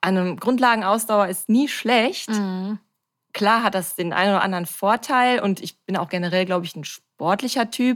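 Here is a woman with an unremarkable speaking voice, medium in pitch with ordinary pitch variation. She speaks at a moderate pace on a very clean recording with a silent background. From Ruhr area, Germany (Bochum). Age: 30s. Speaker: amateur athlete and influencer. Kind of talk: casual interview.

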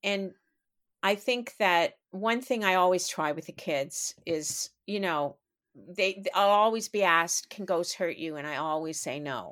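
A woman's unremarkable speaking voice with a Canadian accent, medium in pitch with ordinary variation, fairly slow, on a very clean recording with a silent background. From Canada, Toronto. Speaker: author. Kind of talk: interview storytelling.

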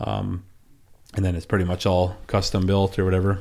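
A man with an Upper Peninsula Michigan accent talks at a fairly quick pace and a fairly low pitch. The recording is very clean, with a silent background. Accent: Upper Peninsula Michigan (Yooper). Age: 30s. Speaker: log truck driver. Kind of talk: casual interview. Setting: studio.

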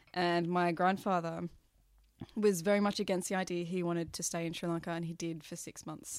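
A woman's fairly low voice, monotone and flat, at a fairly quick pace with big swings in loudness, on a very clean recording with a silent background. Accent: Australian. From Australia. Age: 30s. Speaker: podcast guest. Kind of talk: casual chat. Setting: indoors drinking wine with host.

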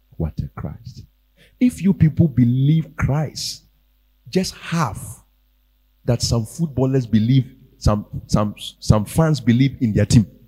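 A man's medium-pitched, somewhat breathy voice with a dark, mellow tone and lively intonation, at a very slow pace with long, frequent pauses. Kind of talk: sermon. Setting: church. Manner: animated; exhortative.

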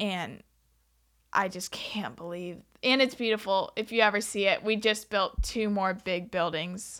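A woman with an American accent talks at a fairly slow pace in a normal speaking voice, her pitch medium with ordinary variation. The recording is very clean, with a silent background. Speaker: college student. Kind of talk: casual interview.

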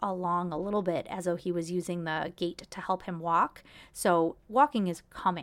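A woman's normal speaking voice, fairly low in pitch, with fairly even intonation at a moderate pace. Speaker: podcast host, actor and mom. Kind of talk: solo podcast monologue, casual storytelling. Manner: conversational, chatty, fillers and self-corrections.

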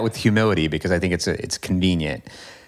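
A man speaks with an American accent. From US Midwest/South (Kentucky and Indiana). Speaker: professor, urban planning researcher. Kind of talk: interview conversation.

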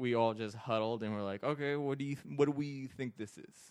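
Speaking at a moderate pace, a man has an unremarkable speaking voice. His intonation stays fairly even. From Iraq, moved to California at twelve. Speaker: comedian. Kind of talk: casual chat.

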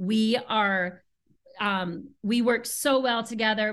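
Over a quiet background, a woman with an American accent speaks in a fairly high voice with a bright, sharp tone and ordinary pitch variation. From US Pacific Northwest, Seattle. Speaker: spa director, former massage therapist. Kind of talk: casual interview chat. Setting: remote call from home.

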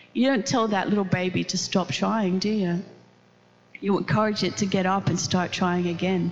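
Over noticeable background noise, a woman talks at a moderate pace with very even loudness. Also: medium pitch for a woman, ordinary pitch variation. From Netherlands. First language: Dutch. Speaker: pastor. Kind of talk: sermon. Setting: church. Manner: animated.

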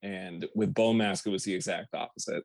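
Fairly quick speech with fairly even intonation comes through in a very clean recording with a silent background and a dry, close sound with no echo. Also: man. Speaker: metal musician. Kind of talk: casual interview chat. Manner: laid back.

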